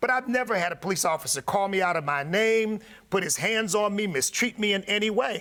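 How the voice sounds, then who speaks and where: A man's raised, projected voice sounds bright and sharp, high in pitch with lively intonation. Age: 60s. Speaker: pastor and radio host, political commentator. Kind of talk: panel discussion. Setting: livestream studio panel. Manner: animated.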